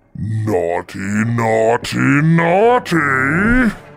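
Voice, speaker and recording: A man puts on a character voice at a medium pitch. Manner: bellowing, gleeful.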